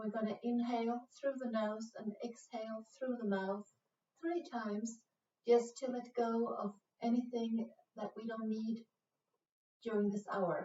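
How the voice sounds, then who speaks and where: In a Swedish accent, a woman speaks at a fairly slow pace in a calm tone, with fairly even intonation and long, frequent pauses. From Sweden. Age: 40s. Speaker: yoga instructor. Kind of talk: guided yoga class. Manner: slow, calm; hesitant, many fillers.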